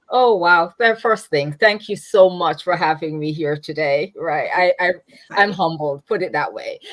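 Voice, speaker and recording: Speaking fairly slowly in a Jamaican accent, a woman with a fairly low pitch shows ordinary pitch variation. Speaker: nonprofit founder. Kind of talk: interview. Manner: halting.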